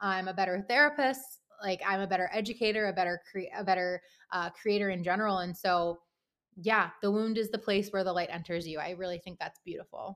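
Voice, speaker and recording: In an American accent, a woman talks fairly quickly in an unremarkable speaking voice at a medium pitch, on a very clean recording with a silent background. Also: fairly even intonation. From Pittsburgh, US. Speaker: therapist. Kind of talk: interview.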